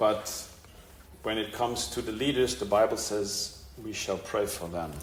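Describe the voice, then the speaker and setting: Over noticeable background noise and audible room echo, a man with a fairly low pitch speaks very slowly with ordinary pitch variation. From Germany. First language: German (speaking Portuguese). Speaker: preacher. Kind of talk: sermon. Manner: short phrases paused for interpreter.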